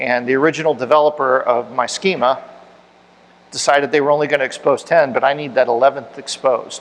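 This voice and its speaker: This man talks at a very fast pace with fairly even intonation. His pitch sits fairly high. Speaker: tech conference speaker. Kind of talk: technical talk with audience Q&A. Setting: meetup room with audience.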